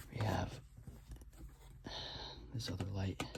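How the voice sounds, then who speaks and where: Whispering comes at a fairly slow pace over noticeable background noise. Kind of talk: ASMR video, casual talk to camera. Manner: whispered, soft-spoken.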